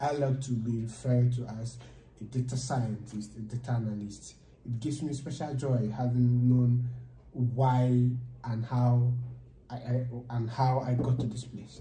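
Through light background noise and audible room echo, a man with a Nigerian accent speaks at a fairly slow pace in a monotone, flat intonation. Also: medium pitch for a man. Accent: Nigerian English (Igbo). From Nigeria, Enugu State. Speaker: data science student. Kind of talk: casual chat; informal interview conversation. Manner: halting. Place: meeting room. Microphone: camera far.

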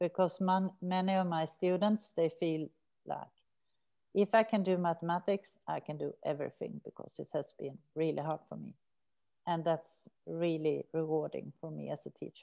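Over a quiet background, a woman with a Swedish accent talks at a moderate pace in a fairly low pitch. Her tone is dark and mellow, and her intonation fairly even. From Sweden. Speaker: researcher and prison maths teacher; teacher. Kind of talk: academic seminar talk. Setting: video call. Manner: hesitant with fillers. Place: home room. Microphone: webcam.

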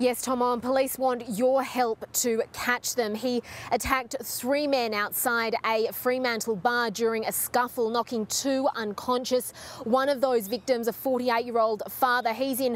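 Pitched high, a woman speaks with monotone, flat intonation at very even loudness. The sound is dry, with no echo. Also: fairly slow pace. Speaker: news reporter. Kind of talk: live news report. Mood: serious, measured. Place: street. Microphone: handheld.

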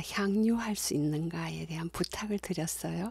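A somewhat breathy woman's voice, warm in tone and dark and mellow, on a very clean recording with a silent background. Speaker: university lecturer in music. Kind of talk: video introduction. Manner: warm and friendly.

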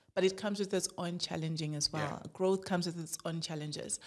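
A woman speaks at a medium pitch. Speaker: podcast host. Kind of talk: casual chat. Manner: animated.

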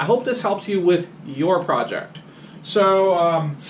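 There is light background noise as a man speaks at a high pitch. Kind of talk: casual tutorial vlog. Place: garage. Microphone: camera far.

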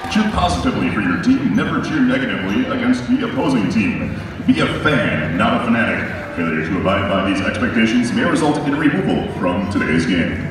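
Strong room echo, noticeable background noise, and a fairly quick pace. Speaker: public address announcer. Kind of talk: sports arena PA announcement. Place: stadium.

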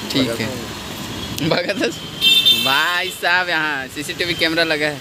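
Speech comes at a very slow pace, dry with no echo. Loud background noise runs throughout. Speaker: vlogger. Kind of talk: casual vlog chat. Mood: playful, joking. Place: shop. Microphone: phone near.

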